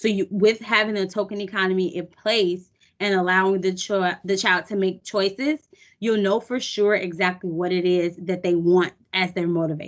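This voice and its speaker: With an American accent, a woman speaks at a medium pitch and with fairly even intonation. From US Midwest. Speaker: behavior analyst. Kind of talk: online training presentation. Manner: fast.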